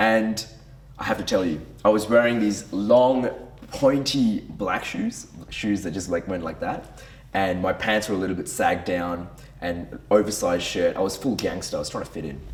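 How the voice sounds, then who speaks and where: A man talks in an animated tone at a moderate pace, fairly low in pitch with ordinary pitch variation. Noticeable background noise runs underneath. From Brunei and Western Australia. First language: Tamil. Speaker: men's group leader. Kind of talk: personal testimony. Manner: casual, animated.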